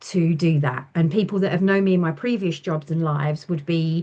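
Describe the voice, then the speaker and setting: Over a quiet background, a woman with an English accent speaks at a fairly low pitch. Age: 40s. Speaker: small business owner, ex-nurse. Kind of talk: interview chat.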